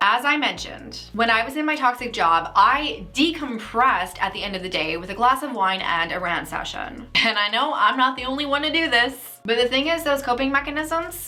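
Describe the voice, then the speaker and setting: Lively intonation at a moderate pace comes through over noticeable background noise. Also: woman, high pitch for a woman. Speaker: career coach. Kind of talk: casual talk to camera.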